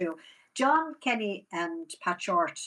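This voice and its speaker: In a quiet background, a woman with a Waterford Irish accent talks in a bright, sharp tone, her pitch swinging very widely. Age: 70s. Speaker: rural theatre manager. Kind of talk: casual interview chat.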